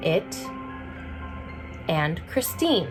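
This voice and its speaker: A woman talks at a very slow pace with lively intonation. Music plays in the background. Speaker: cosplayer. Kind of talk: award announcement.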